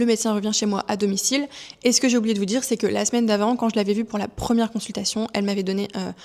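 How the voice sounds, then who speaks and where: The speech runs at a very fast pace with a monotone, flat intonation. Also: woman. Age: 30s. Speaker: vlogger sharing personal story. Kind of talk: personal testimony. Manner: hesitant, many fillers.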